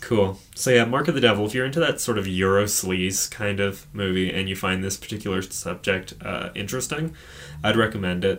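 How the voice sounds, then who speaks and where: A man with a normal speaking voice, fairly low in pitch, at a fairly quick pace with ordinary pitch variation. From Edmonton, Alberta, Canada. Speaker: podcast host. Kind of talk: casual chat, podcast discussion of horror films.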